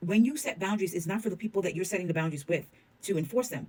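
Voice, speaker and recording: Somewhat breathy and medium in pitch, a woman speaks with lively intonation. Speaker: reality TV commentator. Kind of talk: casual commentary monologue. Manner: animated.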